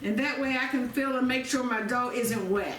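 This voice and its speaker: A woman speaks at a high pitch with ordinary pitch variation, with audible room echo and noticeable background noise. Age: 60s. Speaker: home cooking video host. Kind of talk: cooking tutorial. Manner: casual, repetitive.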